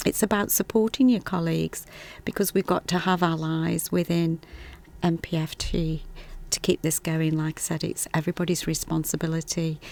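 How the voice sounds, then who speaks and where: A woman's fairly low-pitched voice with a Stoke accent at a moderate pace. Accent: Stoke-on-Trent. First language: Punjabi. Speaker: health visitor. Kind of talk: casual conversation, podcast.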